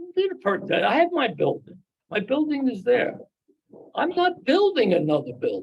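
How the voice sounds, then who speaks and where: A man speaks in an extremely high pitch. His pitch swings very widely. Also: moderate pace. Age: 80s+. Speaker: applicant at a zoning board hearing. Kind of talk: public hearing testimony. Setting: town board meeting with audience. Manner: animated.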